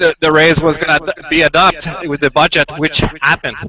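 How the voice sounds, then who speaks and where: A man speaks at a moderate pace with a French-Canadian accent, his pitch fairly high. Music plays in the background. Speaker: citizen reporter at a street protest. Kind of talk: live street reporting. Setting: outdoors at a street protest. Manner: halting. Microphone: laptop with 4G stick.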